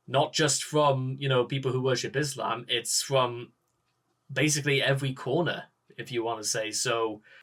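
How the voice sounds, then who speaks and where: A man with a Geordie accent talks at a moderate pace in a medium pitch. His intonation stays monotone and flat. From northern England, Newcastle. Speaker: political commentator. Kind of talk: reaction commentary. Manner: halting.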